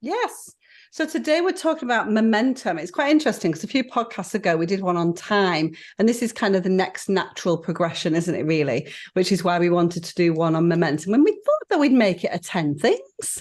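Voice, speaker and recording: A woman with a northern English accent talks at a fairly quick pace with very wide pitch swings against a quiet background. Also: medium pitch for a woman. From northern England. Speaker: podcast co-host. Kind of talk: casual chat. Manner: fast.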